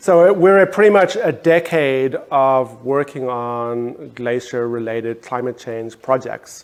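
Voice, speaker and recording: Speaking very slowly in a South African accent, a man uses lively intonation at a medium pitch. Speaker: photographer, artist. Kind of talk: panel discussion. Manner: hesitant with fillers.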